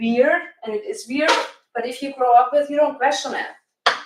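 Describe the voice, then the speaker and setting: A woman is speaking. She has a German accent. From Germany (Bavaria, Franconia). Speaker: cooking channel host, plant-based health coach. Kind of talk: live cooking demonstration. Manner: casual, somewhat halting.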